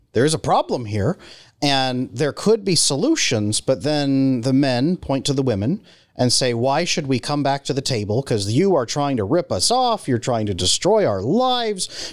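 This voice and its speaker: Speaking with an American accent, a man at a fairly high pitch and moderate pace makes very wide pitch swings, recorded very cleanly against a silent background with a dry, close sound and no echo. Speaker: relationship coach, former psychotherapist. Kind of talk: podcast interview.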